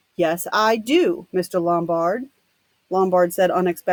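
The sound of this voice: An unforced reading voice, its pitch shifting in an ordinary way, is heard with a quiet background behind it.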